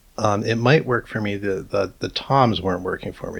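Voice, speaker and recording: A man talks in a fairly low, somewhat breathy voice. His pitch varies in an ordinary way. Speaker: musician and music producer. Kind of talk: tutorial. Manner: casual.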